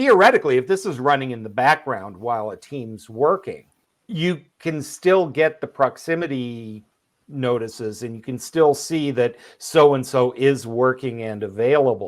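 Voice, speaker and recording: In a very clean recording with a silent background, a man with an unremarkable speaking voice talks at a moderate pace, medium-pitched with lively intonation. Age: 60s. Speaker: podcast co-host, remote work expert. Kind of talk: casual podcast conversation.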